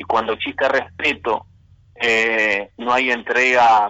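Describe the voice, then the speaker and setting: Flat and monotone in intonation, a man talks at a medium pitch. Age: 20s. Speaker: political activist. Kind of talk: interview. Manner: halting.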